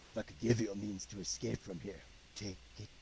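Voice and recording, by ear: A man in a put-on character voice talks very fast at a fairly low pitch, gravelly and with lively intonation and big swings in loudness, over clear background noise.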